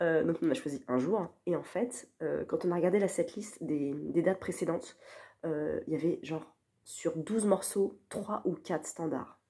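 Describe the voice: A woman's low-pitched voice, dark and mellow in tone with a slightly husky edge, at a moderate pace. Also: ordinary pitch variation.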